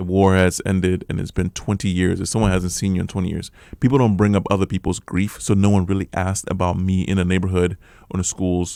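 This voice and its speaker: A man's very deep, low voice, flat and monotone, at a very fast pace over a very clean, silent background. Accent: American. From Liberia. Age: 40s. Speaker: refugee sharing life story. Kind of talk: radio interview testimony. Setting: radio studio.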